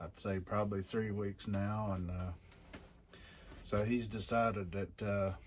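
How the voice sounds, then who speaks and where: Slowish and monotone, a man with a fairly low pitch speaks in flat intonation broken by long, frequent pauses. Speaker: knife maker. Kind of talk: workshop tutorial. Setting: workshop. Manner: loud; casual, many fillers.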